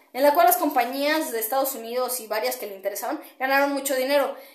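There is audible room echo around a woman's high voice. She talks fairly quickly with ordinary pitch variation. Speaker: podcaster and kickboxer. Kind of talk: monologue commentary. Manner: hesitant, many fillers.

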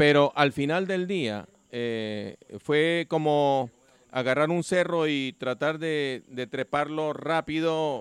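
The pitch varies in an ordinary way as the words come out very slowly. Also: man, fairly high pitch for a man, dry, close sound with no echo. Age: 60s. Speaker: amateur soccer league player. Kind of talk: casual chat.

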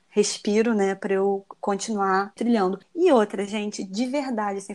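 This woman has a plain, everyday voice at a medium pitch, with fairly even intonation and a moderate pace. The recording is very clean, with a silent background. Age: 30s. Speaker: dentist and vegan recipe influencer. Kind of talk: casual interview chat.

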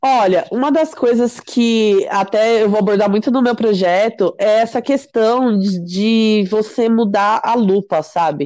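Hardly pausing, a woman talks at a fairly slow pace in a fairly high voice with a dark, mellow tone. Her loudness stays very even and her pitch varies in an ordinary way. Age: 30s. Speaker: entrepreneur. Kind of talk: interview.

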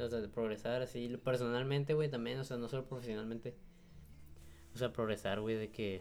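With a Mexican accent, a man talks at a fairly quick pace in a medium pitch and fairly even intonation. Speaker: podcast co-host. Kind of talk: casual chat.

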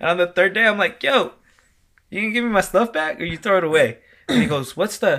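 Raising and projecting his voice, a man speaks at a very fast pace with a high pitch and a bright, sharp tone. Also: lively intonation. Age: 30s. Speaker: wedding DJ. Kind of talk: casual interview chat.

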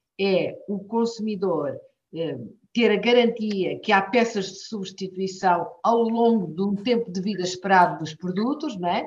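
Speaking at a fairly slow pace, a woman has a medium pitch and ordinary pitch variation, with audible room echo. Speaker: politician and professor. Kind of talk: interview.

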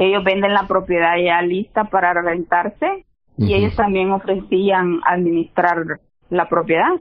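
In an ordinary speaking voice, a woman talks at a fairly slow pace with a fairly low pitch, fairly even intonation and very even loudness. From El Salvador. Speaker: real estate investor. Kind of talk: interview.

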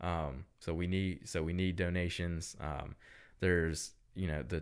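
On a very clean recording with a silent background, a man with a Southern US accent speaks at a fairly slow pace in a very deep, low pitch and a monotone, flat intonation. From US South, upstate South Carolina (Greenville). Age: 20s. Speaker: political candidate and business owner. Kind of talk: podcast interview. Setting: recording studio.

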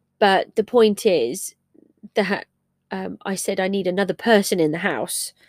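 A woman with an English accent speaks at a fairly slow pace and a medium pitch, with vocal fry. Her pitch varies in an ordinary way on a very clean recording with a silent background. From England. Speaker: crafts podcaster. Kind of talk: casual solo monologue. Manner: halting, many fillers; slow, disjointed.

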